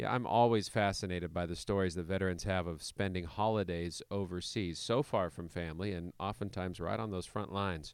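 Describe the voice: A man with a low pitch and ordinary pitch variation speaks with few pauses. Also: moderate pace.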